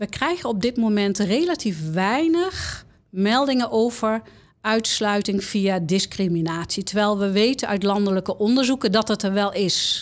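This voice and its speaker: A normal speaking voice from a woman, medium in pitch, with lively intonation, very even loudness and a fairly slow pace, in a very clean recording with a silent background. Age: 60s. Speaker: confidential counsellor at a university of applied sciences. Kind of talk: interview.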